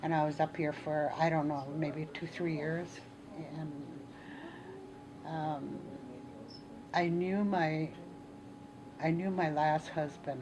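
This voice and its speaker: A woman with a very deep, low pitch speaks at a very slow pace in a monotone, flat voice, leaving long, frequent pauses. Noticeable background noise and audible room echo surround her. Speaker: Ojibwe elder and cultural teacher. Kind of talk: interview, personal life story. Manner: halting, many fillers.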